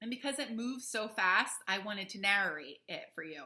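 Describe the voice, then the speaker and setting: At a moderate pace, a woman talks with a fairly high pitch, a bright, sharp tone and very wide pitch swings. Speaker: fourth-grade teacher. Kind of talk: remote lesson for children.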